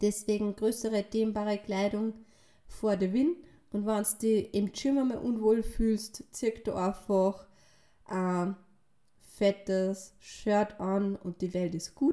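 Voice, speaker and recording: A woman speaks at a very slow pace with long, frequent pauses. Her medium-pitched voice has a dark, mellow tone and ordinary pitch variation. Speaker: fitness and nutrition coach. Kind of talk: podcast monologue. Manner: casual, filler-heavy.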